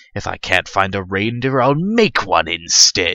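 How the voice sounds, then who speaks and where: A growling, put-on character voice from a man at a moderate pace, in a very clean recording with a silent background. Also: fairly low pitch for a man. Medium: read story. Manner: snarling, sneering.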